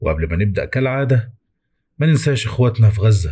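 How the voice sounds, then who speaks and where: A man's dark, mellow, somewhat breathy voice with an Egyptian accent at a moderate pace, on a very clean recording with a silent background. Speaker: horror story narrator. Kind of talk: casual channel intro.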